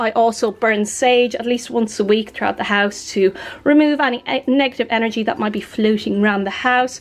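The speaker is a woman. Her intonation is fairly even. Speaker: home vlogger. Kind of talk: casual vlog chat. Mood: cheerful, relaxed. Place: home room. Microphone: phone near.

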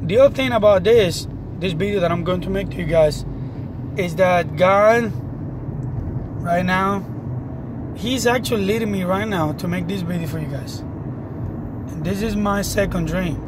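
A man speaks at a moderate pace, with noticeable background noise. He leaves long, frequent pauses. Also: dry sound with no echo. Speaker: religious vlogger. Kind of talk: casual vlog testimony. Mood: earnest, serious. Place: car. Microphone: phone near.

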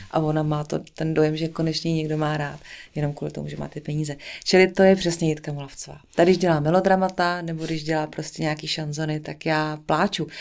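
A woman's very deep, low pitch, monotone and flat in intonation, at a fairly quick pace against a quiet background. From central Bohemia, Czech Republic. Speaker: singer and actress; actress. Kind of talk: casual interview chat. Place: studio. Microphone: studio mic.

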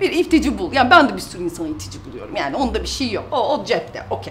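A woman speaks in an animated tone. Light background noise sits behind her. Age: 30s. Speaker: YouTuber and mother; YouTuber. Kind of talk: casual vlog, reading out and answering comments. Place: office.

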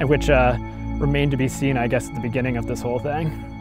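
A man at a very fast pace, dry sound with no echo, clear music behind him. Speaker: entrepreneur, university graduate. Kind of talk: interview answer. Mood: upbeat, enthusiastic. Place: garden.

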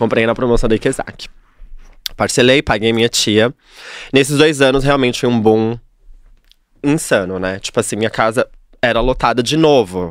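Pausing long and often at a moderate pace, a man speaks with ordinary pitch variation, in a dry sound with no echo and a quiet background. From São Paulo, Capão Redondo; São Paulo. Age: 30s. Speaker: hairdresser; podcast guest. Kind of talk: casual interview chat. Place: studio. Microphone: studio mic.

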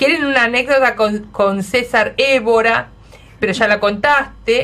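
An animated, fairly slow delivery with an Argentine accent and ordinary pitch variation. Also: woman. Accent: Argentine Spanish (Rioplatense). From Argentina. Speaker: radio host. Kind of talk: radio interview. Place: studio.

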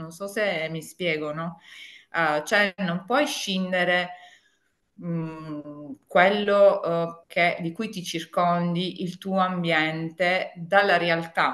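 Over a quiet background, a woman with a fairly low pitch speaks very slowly and with fairly even intonation, her loudness swinging widely. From Apulia, southern Italy. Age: 50s. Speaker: tax consultant and home organizing consultant; interview guest. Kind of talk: interview. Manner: halting, many fillers. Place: home room. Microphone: video call.

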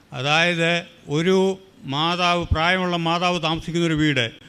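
This is a man speaking. His pitch is high. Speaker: churchgoer giving testimony. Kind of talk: testimony.

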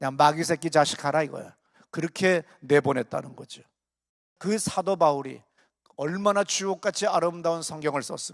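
A man with an ordinary speaking voice talks at a moderate pace and fairly high pitch, with fairly even intonation, in a dry, close sound with no echo. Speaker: pastor. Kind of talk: sermon. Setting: church.

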